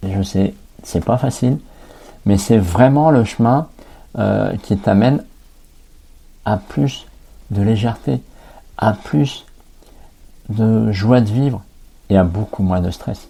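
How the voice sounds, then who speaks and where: The somewhat breathy voice moves at a very slow pace with lively intonation and long, frequent pauses. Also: man. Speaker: life coach and podcast host. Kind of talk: podcast monologue. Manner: hesitant, with fillers and repetitions.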